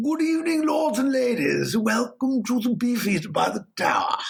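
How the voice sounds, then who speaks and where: A raspy, put-on character voice from a man, extremely high in pitch, at a moderate pace. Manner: silly, exaggerated.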